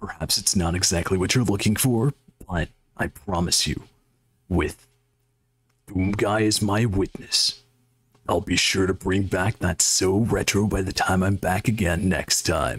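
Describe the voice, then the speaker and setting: A man puts on a character voice, pitched fairly low, at a moderate pace. His loudness stays very even and his intonation fairly level, broken by long, frequent pauses. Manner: retro, theatrical.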